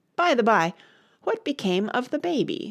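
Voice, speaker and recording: A woman's put-on character voice, high-pitched and raspy, with very wide pitch swings and a moderate pace, on a very clean recording against a silent background. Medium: read story. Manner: calm, teasing, cryptic.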